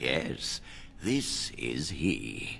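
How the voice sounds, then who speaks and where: The speaker uses a put-on character voice. Background noise is clearly audible. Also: man. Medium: video game. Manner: warm, measured.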